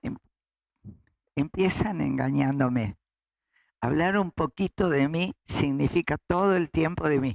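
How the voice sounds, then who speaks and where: Delivered at a very slow pace with long, frequent pauses, the speech has lively intonation and a Rioplatense accent. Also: woman, very deep, low pitch for a woman, dry, close sound with no echo. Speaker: human rights activist, founding grandmother of a search association; retired school director. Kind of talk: interview answer.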